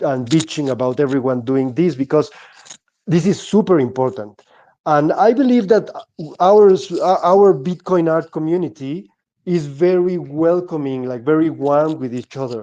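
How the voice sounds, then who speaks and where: A man's fairly high voice with a dark, mellow tone, lively intonation, a moderate pace and a Mexican accent. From Mexico. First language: Spanish. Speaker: Bitcoin artist. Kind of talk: podcast interview. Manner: halting, many repetitions.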